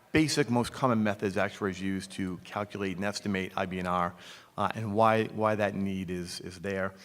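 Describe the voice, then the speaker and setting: A man speaks at a fairly quick pace with a Boston accent. His pitch sits fairly low. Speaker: actuarial consultant. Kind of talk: conference presentation. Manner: frequent fillers (um, uh).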